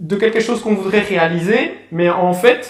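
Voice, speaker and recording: With a Belgian accent, a man speaks at a moderate pace. His pitch is high and varies in an ordinary way. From Belgium, Namur. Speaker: pianist and author. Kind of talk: interview. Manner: hesitant, many fillers.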